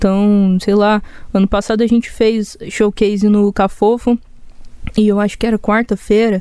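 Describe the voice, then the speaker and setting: At a moderate pace, a woman with a Goiás accent speaks in a medium pitch and a dark, mellow tone, her intonation monotone and flat and her loudness very even. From Goiânia, Brazil. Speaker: singer-songwriter. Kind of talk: casual interview chat. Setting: studio.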